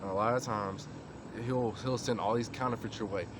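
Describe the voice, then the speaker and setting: Through audible room echo and noticeable background noise, a man at medium pitch speaks at a fairly quick pace in a monotone, flat intonation. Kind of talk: informal religious talk to camera. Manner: casual, with many fillers.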